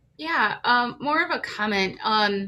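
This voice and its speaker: At a fairly slow pace, a woman talks at a fairly high pitch with ordinary pitch variation over noticeable background noise. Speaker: community advocate. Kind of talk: casual comment in online training. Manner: animated, halting.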